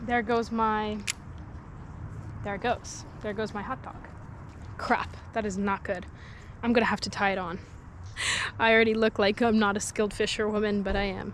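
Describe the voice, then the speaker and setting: At a moderate pace, a woman speaks quietly in a fairly high pitch with monotone, flat intonation and long, frequent pauses. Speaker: fishing vlogger. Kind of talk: casual vlog chat. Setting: outdoors by a lake. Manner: talking quietly.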